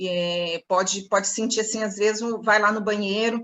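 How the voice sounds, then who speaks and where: A woman's plain, everyday voice, medium in pitch, with fairly even intonation and a fairly slow pace. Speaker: sales trainer. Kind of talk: online training session. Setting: computer video session.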